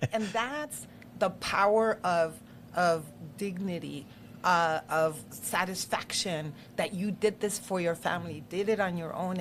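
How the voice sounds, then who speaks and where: A woman with a Spanish accent and a fairly low pitch. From Mexico (Chihuahua), raised in US. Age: 50s. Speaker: local politician. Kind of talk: casual interview. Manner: animated.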